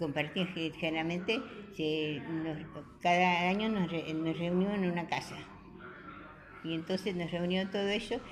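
Speaking at a fairly slow pace with long, frequent pauses, a woman uses a fairly low, somewhat breathy voice and fairly even intonation, with audible room echo. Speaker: care home resident. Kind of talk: radio interview.

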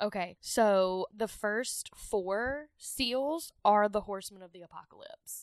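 A woman with a strong Southern US accent speaks at a very slow pace with hardly any pauses in a fairly high pitch, in a dry, close sound with no echo against a quiet background. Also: ordinary pitch variation, big swings in loudness. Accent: thick Southern US. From US South. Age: 30s. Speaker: podcast host. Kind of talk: casual chat.

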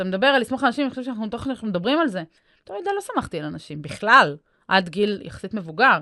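A woman's fairly high, bright, sharp voice at a very fast pace, with very wide pitch swings and big swings in loudness. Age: 30s. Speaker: mental coach and podcast host. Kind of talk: casual interview chat. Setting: podcast studio.

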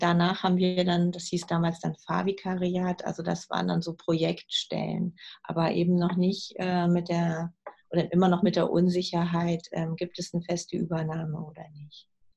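A woman's somewhat breathy, dark and mellow voice at a fairly low pitch, flat and monotone, at a moderate pace with big swings in loudness. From southern Lower Saxony, Germany. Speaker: hospital chaplain and pastor. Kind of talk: interview conversation. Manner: hesitant with frequent fillers.

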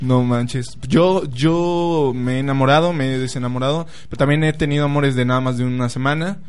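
A man talks with a Mexican accent and ordinary pitch variation. There is audible echo in the room. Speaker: podcast co-host. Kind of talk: casual chat. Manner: animated.

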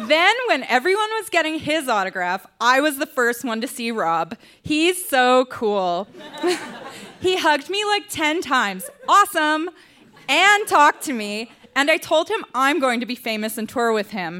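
With a raised, projected voice, a woman speaks at a high pitch and a fairly slow pace, her pitch swinging very widely. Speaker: reader at live storytelling show. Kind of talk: reading aloud. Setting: stage with audience.

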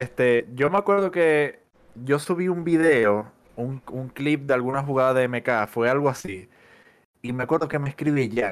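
A man's lively, rising-and-falling voice at a moderate pace, on a very clean recording with a silent background. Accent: Zulian. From Venezuela, Maracaibo. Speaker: fighting game caster and player. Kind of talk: casual chat.

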